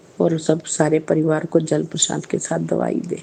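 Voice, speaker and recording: A woman's very deep, low voice at a fairly slow pace, with noticeable background noise. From Punjab, India (Jalandhar). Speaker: religious devotee. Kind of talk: testimony.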